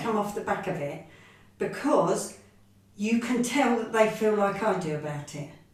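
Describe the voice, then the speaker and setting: A woman's medium-pitched voice at a moderate pace, lively in intonation, against noticeable background noise. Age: 60s. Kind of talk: interview answer.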